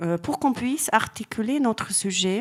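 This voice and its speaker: A woman speaks fairly slowly with lively intonation on a very clean recording with a silent background. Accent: Hungarian. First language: Hungarian (speaking French). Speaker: art historian. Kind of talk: lecture. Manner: halting.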